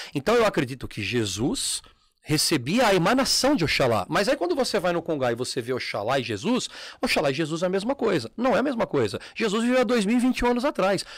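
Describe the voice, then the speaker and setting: Pitched high, a man speaks at a fairly quick pace with very wide pitch swings. The recording is very clean, with a silent background. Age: 40s. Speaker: umbanda practitioner and former teacher at a terreiro. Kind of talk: casual chat.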